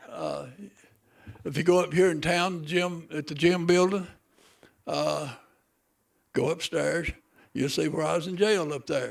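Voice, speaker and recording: In a western North Carolina accent, a man speaks fairly slowly with long, frequent pauses. His voice is high and his intonation fairly even. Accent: Southern US (western North Carolina). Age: 70s. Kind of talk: ceremony speech. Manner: casual, joking.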